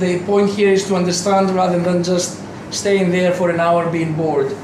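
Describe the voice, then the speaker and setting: A man with a Greek accent and a high pitch, flat and monotone in intonation, amid noticeable background noise and audible room echo. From Greece. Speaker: university lecturer. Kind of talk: lecture. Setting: lecture hall with audience. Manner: loud; interactive, asks audience questions.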